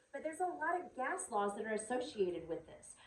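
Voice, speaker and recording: Very fast and with very wide pitch swings, a woman talks in a Southern US accent amid audible room echo. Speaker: high school chemistry teacher. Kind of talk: recorded video lecture.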